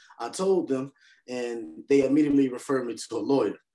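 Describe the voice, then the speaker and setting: Against a quiet background, a man talks at a fairly quick pace with a medium pitch and ordinary pitch variation. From North Philadelphia; Philadelphia. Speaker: hard money lender and real estate investor; podcast guest. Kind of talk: interview. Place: home room. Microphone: video call.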